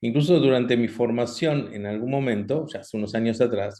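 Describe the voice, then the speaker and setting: His pitch varies in an ordinary way. The man keeps a moderate pace. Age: 60s. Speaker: doctor, cardiologist. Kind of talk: online health talk. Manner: halting, many fillers.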